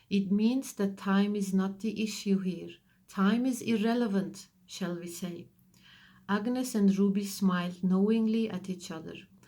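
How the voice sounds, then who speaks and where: A woman's somewhat breathy, dark and mellow voice at medium pitch, with fairly even intonation and a fairly slow pace. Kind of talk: audiobook reading.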